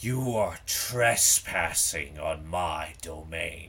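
A man booms in a put-on character voice, very deep and low in pitch, at a very slow pace over light background noise. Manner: booming.

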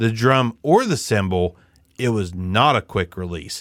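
In a very clean, dry, close recording with a silent background and no echo, a man with a normal speaking voice talks at a medium pitch and fairly slow pace with lively intonation. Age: 40s. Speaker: podcast host. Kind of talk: casual chat. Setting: home podcast stream. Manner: casual, profane, joking.

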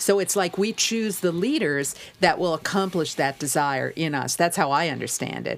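A woman's fairly low voice with vocal fry, in an American accent. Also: ordinary pitch variation, moderate pace. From United States. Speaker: broadcaster and entrepreneur. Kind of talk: casual chat.

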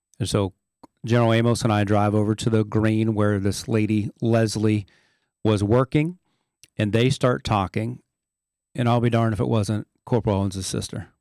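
On a very clean recording with a silent background and dry, close sound with no echo, a man with a fairly low pitch speaks at a moderate pace, with fairly even intonation, very even loudness and long, frequent pauses. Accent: American. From southeastern Ohio. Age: 50s. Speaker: Marine veteran. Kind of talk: interview testimony.

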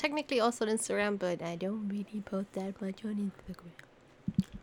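A plain, everyday voice from a woman, medium in pitch, at a fairly quick pace. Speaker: streamer, co-host. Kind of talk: casual chat, podcast recording.

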